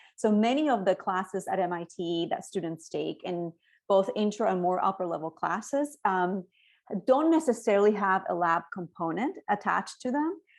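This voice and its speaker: Against a quiet background, a woman with a Spanish accent speaks at a moderate pace and a medium pitch, with lively intonation. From Cuba, then Spain and Miami. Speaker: education researcher. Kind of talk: talk.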